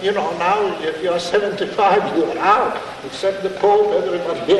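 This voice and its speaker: A man speaks at a fairly slow pace. The recording carries audible room echo and noticeable background noise. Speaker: priest. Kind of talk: lecture. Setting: stage with audience.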